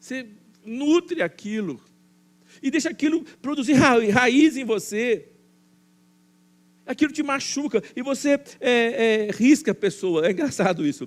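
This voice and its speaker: Pitched extremely high, a man speaks with lively intonation at a fairly slow pace, with long, frequent pauses. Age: 60s. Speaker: pastor. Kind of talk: sermon. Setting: church. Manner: halting, frequent fillers and repetitions.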